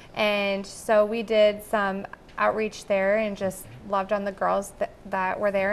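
A woman speaks with an American accent at a fairly slow pace. Light background noise can be heard. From Dubuque, Iowa, US Midwest; Iowa. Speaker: anti-trafficking nonprofit board member; guest. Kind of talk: TV interview. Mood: earnest, heartfelt. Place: studio.

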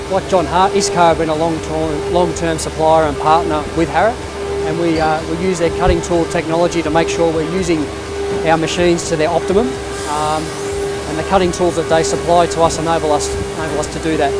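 A man talks at a fairly quick pace over loud background music. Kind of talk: interview answer. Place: factory.

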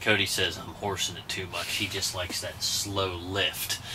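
The delivery is monotone and flat at a moderate pace. Noticeable background noise runs underneath. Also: man, fairly low pitch for a man. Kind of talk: tutorial. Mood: relaxed, joking. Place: tent. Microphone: camera far.

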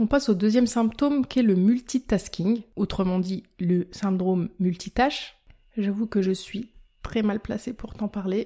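At a fairly slow pace, a woman speaks at a medium pitch with ordinary pitch variation in a somewhat breathy, dark, mellow tone. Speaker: health podcaster and blogger. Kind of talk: scripted educational monologue.

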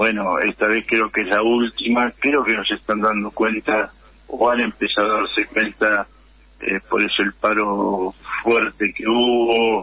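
A man speaks in a monotone with flat intonation. His pitch is fairly low, and his pace is fairly slow. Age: 70s. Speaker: union leader. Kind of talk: radio interview.

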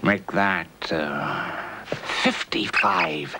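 The background carries loud noise. Over it, a man talks. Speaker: actor playing a grey-suited agent. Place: shop.

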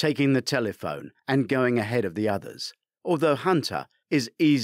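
A natural reading voice shows ordinary pitch variation, with a quiet background behind it.

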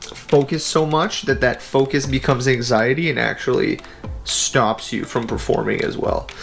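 A man at a moderate pace with faint music in the background. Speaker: game streamer. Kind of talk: casual stream commentary. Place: home room.

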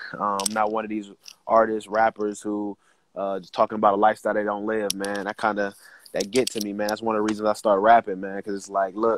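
Against light background noise, a man with a fairly low voice talks very fast in a monotone, flat delivery, the sound dry with no echo. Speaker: remote interview guest. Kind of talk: interview answer. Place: garden. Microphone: earbuds.

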